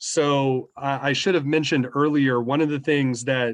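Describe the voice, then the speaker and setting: A man with a normal speaking voice, medium pitch and fairly even intonation, at a moderate pace against a quiet background. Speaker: school staff presenter. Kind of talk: information session Q&A. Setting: video call.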